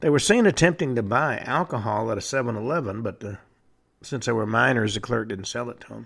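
Vocal fry runs through a man's medium-pitched voice at a fairly quick pace on a very clean recording with a silent background. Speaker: radio show host. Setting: studio. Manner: matter-of-fact, deadpan with occasional wry asides.

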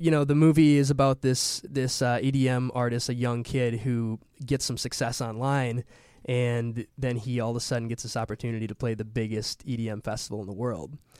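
A man with an American accent talks at a fairly quick pace in a plain, everyday voice of medium pitch with fairly even intonation. The recording is very clean, with a silent background. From Wisconsin, Milwaukee. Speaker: actor and musician. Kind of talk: casual interview chat.

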